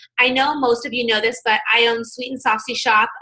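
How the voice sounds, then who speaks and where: A woman speaks at a fairly high pitch with a bright, sharp tone. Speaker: business owner and direct sales presenter. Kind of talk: business opportunity presentation. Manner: fast.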